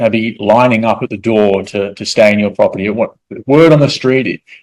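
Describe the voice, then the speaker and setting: The pace of this man's speech is moderate. There is ordinary variation in his pitch. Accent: Australian. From Australia. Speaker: real estate investor. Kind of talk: presentation. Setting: evening presentation to an audience. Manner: repetitive, with filler words.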